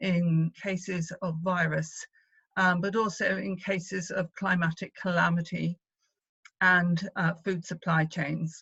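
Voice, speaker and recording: Speaking with a British accent, a woman uses a medium pitch and monotone, flat intonation at a fairly slow pace. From Wales. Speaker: activist, former party leader. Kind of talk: conference speech. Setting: video call. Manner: hesitant, many fillers.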